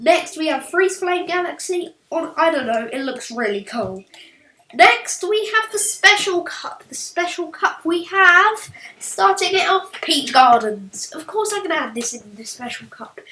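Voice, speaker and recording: Over noticeable background noise, a woman with an extremely high pitch uses a raised, projected voice at a fairly slow pace, with very wide pitch swings and big swings in loudness. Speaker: gaming youtuber. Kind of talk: casual video commentary. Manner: halting, self-correcting.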